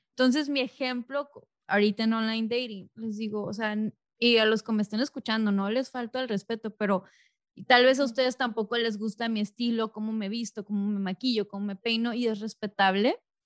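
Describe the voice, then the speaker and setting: The woman's pitch is fairly high and her pace fairly quick. Her voice sounds dry and close with no echo, against a quiet background. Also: fairly even intonation. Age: 30s. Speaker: podcast host. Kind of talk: casual chat.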